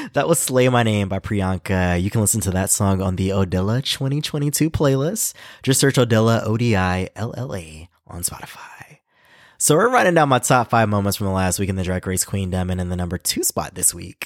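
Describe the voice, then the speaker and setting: Moderately paced, a man with an American accent talks at a fairly low pitch with lively intonation. The recording is very clean and silent behind him, the sound dry and close with no echo. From US South, Carolinas. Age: 30s. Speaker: podcast host, drag fan. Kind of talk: casual solo podcast chat. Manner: animated.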